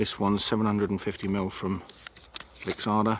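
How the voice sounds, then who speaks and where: Quiet and fairly quick, a man talks at a fairly low pitch with fairly even intonation over noticeable background noise. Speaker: hiking vlogger. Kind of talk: outdoor vlog narration. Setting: outdoors. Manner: quiet, hushed.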